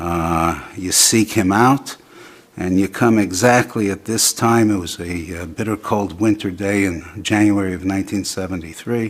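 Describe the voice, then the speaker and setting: A man speaks at a fairly low pitch, keeping his intonation fairly even. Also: moderate pace. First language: Yiddish. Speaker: storyteller recounting personal encounter. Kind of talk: testimony. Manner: halting.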